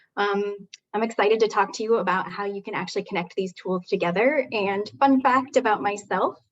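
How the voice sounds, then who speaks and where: An American accent marks this woman's medium-pitched voice, which has ordinary pitch variation. She speaks at a fairly quick pace against a quiet background. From Wyoming, US. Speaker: software solution consultant; presenter. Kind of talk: webinar presentation. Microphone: video call.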